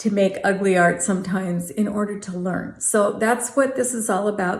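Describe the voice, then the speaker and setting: A somewhat breathy woman talks at a moderate pace and medium pitch. Her pitch varies in an ordinary way, and audible room echo surrounds her. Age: 60s. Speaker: art vlogger. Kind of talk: casual vlog talk.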